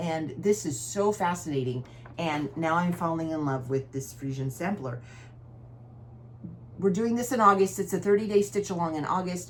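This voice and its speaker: A somewhat breathy woman with fairly low pitch and lively intonation, at a moderate pace with long, frequent pauses. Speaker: cross-stitch vlogger. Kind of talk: casual chat.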